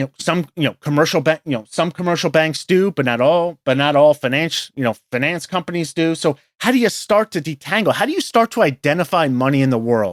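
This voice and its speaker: A man with a New York accent and a fairly high pitch, lively intonation, a fairly quick pace and hardly any pauses, in dry, close sound with no echo on a very clean recording with a silent background. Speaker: professional investor. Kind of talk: interview conversation. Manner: hesitant, many fillers.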